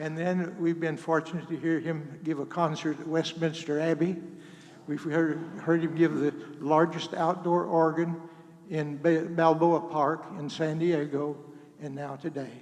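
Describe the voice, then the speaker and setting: A man with an American accent speaks at a fairly slow pace and fairly high pitch, his intonation monotone and flat, with audible room echo and noticeable background noise. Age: 80s+. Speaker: retired school superintendent, performer's father. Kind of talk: personal speech to audience. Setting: church with audience, microphone. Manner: halting.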